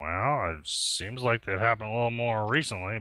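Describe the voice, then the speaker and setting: A man speaks in a put-on character voice at a medium pitch. His pace is fairly quick. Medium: actual play.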